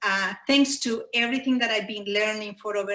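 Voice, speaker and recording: With a Spanish accent, a woman speaks at a medium pitch and with fairly even intonation. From Chile. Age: 40s. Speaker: podcast pitcher. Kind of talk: live podcast pitch. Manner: halting, many fillers.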